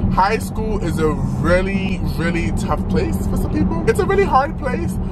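Music in the background, a moderate pace and a dry sound with no echo. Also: man. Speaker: vlogger. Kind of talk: casual vlog chat. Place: car. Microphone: phone near.

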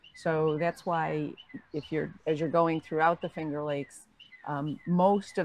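A woman speaks at a moderate pace in a very deep, low voice, her intonation fairly even. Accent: American. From Binghamton, upstate New York. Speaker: retired winery owner, former lawyer. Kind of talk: oral history interview.

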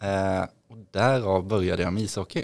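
A man's fairly low voice stands out against a quiet background. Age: 30s. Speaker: trader and investor, former hockey player; podcast guest. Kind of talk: podcast interview. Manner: hesitant, many fillers. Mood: friendly, relaxed. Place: studio. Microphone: studio mic.

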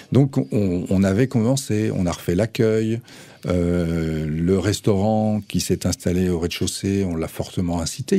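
The man's pitch is very deep and low. His tone is dark and mellow. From France, Nantes; France. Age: 50s. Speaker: cultural venue director; radio guest. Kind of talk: radio interview. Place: studio. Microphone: studio mic.

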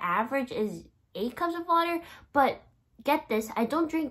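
Against a quiet background, a woman speaks in a high pitch at a moderate pace, her pitch swinging very widely. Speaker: vlogger. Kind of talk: casual vlog chat. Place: home room. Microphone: phone near.

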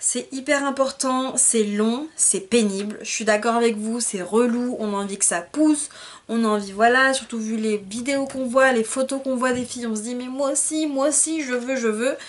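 A woman's high-pitched voice at a moderate pace, with ordinary pitch variation and hardly any pauses. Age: 20s. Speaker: beauty vlogger; hair vlogger. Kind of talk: tutorial. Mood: encouraging, sympathetic. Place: home room. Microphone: phone near.

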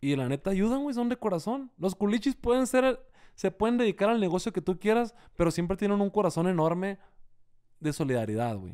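The voice has a dark, mellow tone and very wide pitch swings, moving at a fairly quick pace over a quiet background. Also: man. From Sinaloa, Mexico. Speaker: singer and accordionist; interviewee. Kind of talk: casual interview. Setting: hotel room. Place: home room. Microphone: studio mic.

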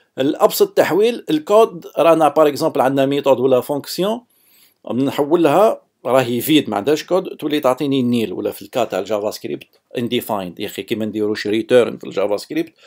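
Very wide pitch swings and big swings in loudness at a fairly quick pace, with an Algerian accent, on a very clean recording with a silent background. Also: man, fairly high pitch for a man. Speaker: software developer. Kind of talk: technical lecture. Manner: casual, code-switching with French.

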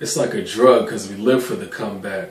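Amid audible room echo, a man talks at a moderate pace with ordinary pitch variation. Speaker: spoken word poet. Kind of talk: spoken word poetry performance. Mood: reflective, emotional, intimate. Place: home room.

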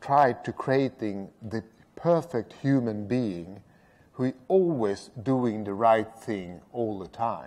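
Speaking with a Swedish accent, a man goes at a very slow pace. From Sweden. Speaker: road safety strategist. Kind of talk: lecture. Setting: stage with audience. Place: stage. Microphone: podium.

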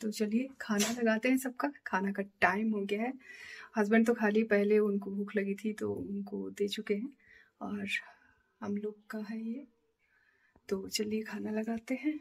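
A woman speaks at a fairly slow pace in a somewhat breathy voice. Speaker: home cooking vlogger. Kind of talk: casual vlog chat. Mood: warm, relaxed. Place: kitchen. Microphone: phone near.

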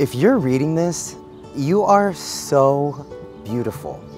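A man talks at a fairly slow pace with very wide pitch swings. Clear music plays in the background, and the sound is dry with no echo. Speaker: actor performing readings. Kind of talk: dramatic reading of online posts, comedic and earnest. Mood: mock-dramatic, wistful. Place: garden. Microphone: lapel.

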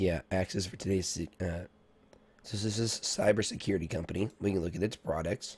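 Somewhat breathy and very deep in pitch, a man talks at a fairly quick pace with fairly even intonation. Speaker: stock market streamer. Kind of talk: live market analysis stream. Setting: live stream.

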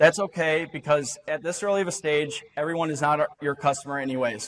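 The speaker keeps a moderate pace with ordinary pitch variation against a quiet background. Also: man. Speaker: presenter. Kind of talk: short-format talk to an audience.

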